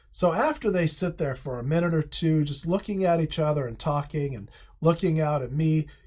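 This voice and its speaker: The speech moves at a moderate pace. The recording is very clean, with a silent background. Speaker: fly fisherman. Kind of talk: storytelling to camera.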